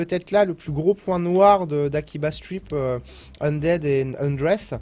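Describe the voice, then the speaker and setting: A man's voice with ordinary pitch variation. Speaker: gaming video reviewer. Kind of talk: casual video game review, live-stream style. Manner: chatty, casual, hesitant with filler words.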